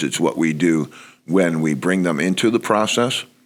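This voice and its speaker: A man with a New York accent talks at a fairly quick pace over noticeable background noise. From New York (Bronx). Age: 60s. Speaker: college basketball coach. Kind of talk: podcast interview.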